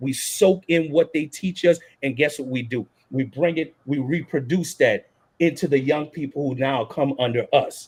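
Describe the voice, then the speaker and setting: A somewhat breathy man's voice in a New Orleans accent, fairly high in pitch with ordinary variation, at a moderate pace. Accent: New Orleans Southern US. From US South, New Orleans, Louisiana. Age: 40s. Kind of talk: panel discussion.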